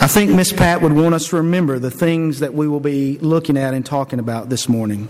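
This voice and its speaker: Over noticeable background noise, the speech moves at a fairly quick pace with hardly any pauses. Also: man, fairly high pitch for a man, ordinary pitch variation. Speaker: preacher. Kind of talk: sermon introduction with scripture reading. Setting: church.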